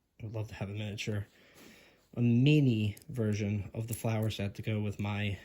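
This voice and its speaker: Somewhat breathy, a man speaks at a moderate pace with a fairly low pitch, a dark, mellow tone and monotone, flat intonation. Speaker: Lego hobbyist video creator. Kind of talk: casual product review vlog. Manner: casual, halting with fillers.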